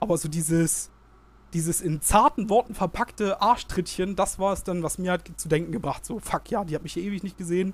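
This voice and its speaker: Delivered fairly quickly, the speech shows ordinary pitch variation. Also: man, high pitch for a man. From Germany, Saxony-Anhalt (Halberstadt). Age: 20s. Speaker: student teacher, weight-loss guest. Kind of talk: casual interview.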